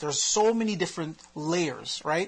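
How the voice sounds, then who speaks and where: Noticeable background noise accompanies speech at a fairly quick pace. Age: 30s. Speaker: podcast co-host, father of three. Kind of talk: casual chat on a live stream. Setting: Facebook live video.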